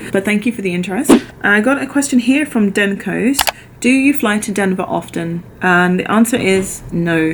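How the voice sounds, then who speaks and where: A woman with a British accent speaks at a medium pitch and moderate pace, with ordinary pitch variation. There is noticeable background noise. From London, England. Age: 30s. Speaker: flight attendant vlogger. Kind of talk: Q&A vlog.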